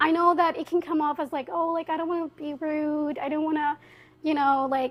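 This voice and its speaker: Loud and high-pitched, a woman speaks at a fairly quick pace. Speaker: university student and community organizer. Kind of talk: podcast interview. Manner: casual, animated.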